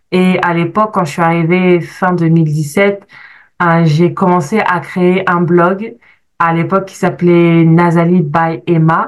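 Speaking very slowly, a woman with a fairly low pitch keeps a monotone, flat intonation. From France. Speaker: life coach. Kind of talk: testimony.

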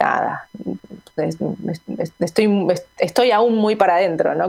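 Pitched in the medium range, a woman's voice shows ordinary pitch variation. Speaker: musician. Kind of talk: interview. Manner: halting.

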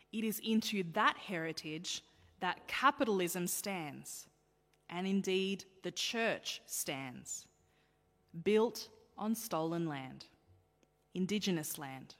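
A woman at medium pitch with an Australian accent, speaking at a very slow pace with long, frequent pauses and lively intonation. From Australia, child of Sri Lankan Tamil migrants. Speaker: pastor. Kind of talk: sermon.

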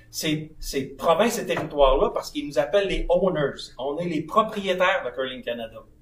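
Over noticeable background noise, a man with a high pitch speaks at a moderate pace with very wide pitch swings. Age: 60s. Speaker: sports federation president. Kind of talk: live podcast interview. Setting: live at a curling club.

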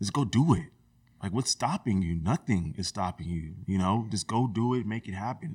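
A man with a plain, everyday voice and a fairly low pitch speaks at a moderate pace with lively intonation, in a very clean recording with a silent background and a dry, close sound with no echo. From US West Coast, Sacramento area (California). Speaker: HVAC technician and community group founder. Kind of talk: casual interview conversation.

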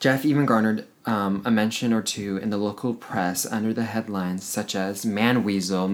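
This clip consists of reading aloud in a natural voice.

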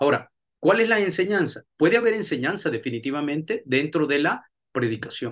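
A man talks at a fairly quick pace. He has an unremarkable speaking voice. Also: fairly high pitch for a man, lively intonation. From El Salvador, raised mostly in the USA. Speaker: pastor and theology professor. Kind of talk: lecture.

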